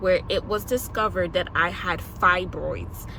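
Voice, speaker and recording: A woman speaks at a fairly slow pace. Noticeable noise sits in the background. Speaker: lifestyle vlogger. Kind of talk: personal testimony. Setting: recording between school and home.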